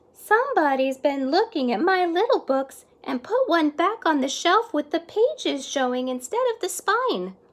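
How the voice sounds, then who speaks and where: In a squeaky, put-on character voice, a woman speaks at an extremely high pitch and a moderate pace, her pitch swinging very widely. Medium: read story. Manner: fussy.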